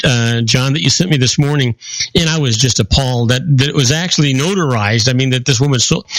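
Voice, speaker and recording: A man speaks with a fairly high pitch while noticeable noise fills the background. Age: 70s. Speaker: political talk show panelist. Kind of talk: political talk radio discussion.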